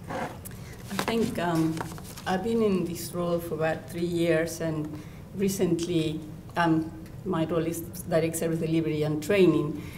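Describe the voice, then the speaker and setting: A woman's fairly low voice with a non-native accent and fairly even intonation, plus audible room echo and noticeable background noise. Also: fairly slow pace. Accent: noticeable foreign. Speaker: children's counsellor. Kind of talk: lecture.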